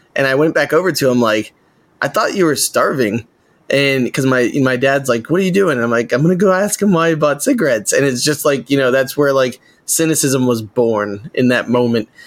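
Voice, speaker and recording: A man speaks in a normal speaking voice, fairly high-pitched with lively intonation. His pace is fairly quick and his loudness stays very even. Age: 30s. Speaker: podcast co-host. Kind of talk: casual chat.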